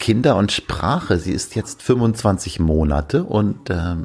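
somewhat breathy male speech with lively intonation. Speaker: podcast host and father. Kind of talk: casual solo chat. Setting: at home, bed then veranda.

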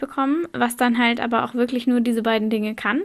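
A woman speaks in a plain, everyday voice with fairly even intonation and a fairly high pitch. The recording is very clean, with a silent background. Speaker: podcast co-host. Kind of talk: casual educational podcast chat.

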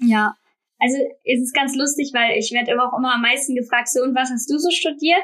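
A woman's high-pitched voice with a bright, sharp tone at a fairly quick pace. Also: ordinary pitch variation. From Rhineland, Germany (Bornheim near Bonn). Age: 20s. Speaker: freelance designer and influencer. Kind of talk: casual interview.

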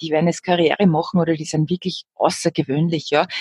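In a dry, close recording with no echo, a woman with a normal speaking voice talks at a fairly quick pace and a fairly low pitch. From Upper Austria. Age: 40s. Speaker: jazz singing teacher and musician. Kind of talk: casual interview.

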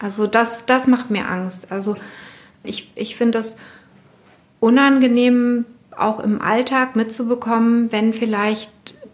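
Over noticeable background noise, a woman with a fairly high pitch talks very slowly with fairly even intonation. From West Berlin (Spandau). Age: 40s. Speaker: personal trainer. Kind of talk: interview. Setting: basement of her studio.

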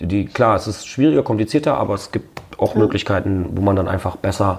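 There is noticeable background noise as a man talks with ordinary pitch variation. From Berlin. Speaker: rapper and radio host. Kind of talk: casual interview. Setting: at his home.

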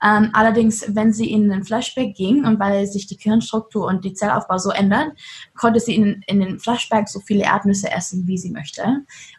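A woman with a medium pitch and a somewhat breathy, upbeat tone speaks at a moderate pace with ordinary pitch variation. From Germany. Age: 20s. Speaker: trafficking survivor and activist. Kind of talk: interview. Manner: lively, upbeat.

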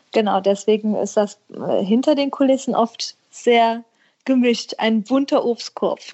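Here a woman has an ordinary speaking voice, with a fairly high pitch, very even loudness, fairly even intonation and a fairly slow pace. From western Germany, Herzogenrath near Aachen. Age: 30s. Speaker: schlager singer. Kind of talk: casual interview. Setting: remote call.

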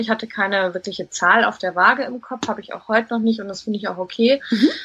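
Fairly high-pitched and bright with a sharp tone, a woman speaks at a fairly quick pace. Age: 30s. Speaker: recruitment consultant, coaching client. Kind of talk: interview testimony.

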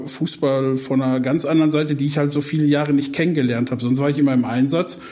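With monotone, flat intonation and a fairly high pitch, a man speaks over noticeable background noise with audible room echo. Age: 40s. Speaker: football club fan liaison officer. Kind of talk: podcast interview.

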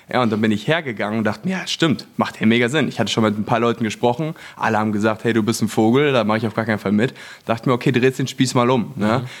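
Very fast speech from a man, medium in pitch and with ordinary variation in it. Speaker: branding entrepreneur, former network marketer. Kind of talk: casual chat. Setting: apartment in Los Angeles.

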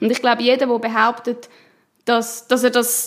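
A woman with a normal speaking voice talks at a moderate pace in a fairly high pitch. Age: 20s. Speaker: politician and union president. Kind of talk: interview.

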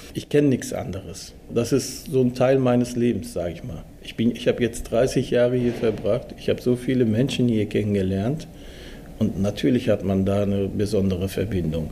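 Pitch varies in an ordinary way, and the delivery is somewhat breathy. The pace is moderate. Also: man, medium pitch for a man. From Germany (Dortmund), came from Turkey at six. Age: 40s. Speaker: steelworker and works council chairman. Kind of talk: interview.

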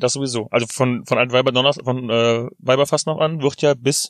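In a normal speaking voice, a man talks at a medium pitch with fairly even intonation, the sound dry and close with no echo. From Rhineland, Germany. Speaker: podcast co-host. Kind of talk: casual chat. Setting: in a parked car.

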